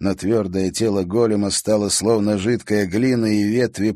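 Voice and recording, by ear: Reading aloud in a natural voice, intonation held fairly even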